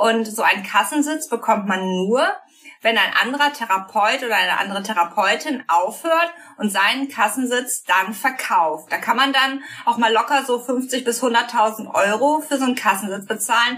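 Over noticeable background noise, a woman talks at a moderate pace. Her pitch is fairly high and her loudness very even. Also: ordinary pitch variation. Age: 30s. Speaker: psychotherapist. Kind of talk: interview.

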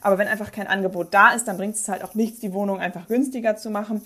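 At a very fast pace, a woman delivers her lines in a flat monotone at medium pitch, on a very clean recording with a silent background. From northern Germany, Bremen. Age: 20s. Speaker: politician. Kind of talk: debate.

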